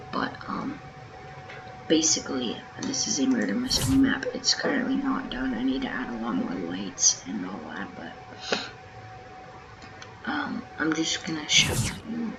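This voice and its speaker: Quiet, fairly slow speech with long, frequent pauses over noticeable background noise. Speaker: gaming YouTuber. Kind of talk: tutorial. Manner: casual, hesitant with many ums.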